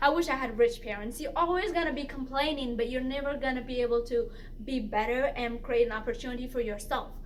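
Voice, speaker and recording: Room echo is audible in this clip. A woman speaks fairly quickly at a high pitch. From immigrant, grew up partly in refugee camps. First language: not English (English is third language). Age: 20s. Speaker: lifestyle vlogger. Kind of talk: casual vlog monologue. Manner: animated, with frequent repetitions and fillers.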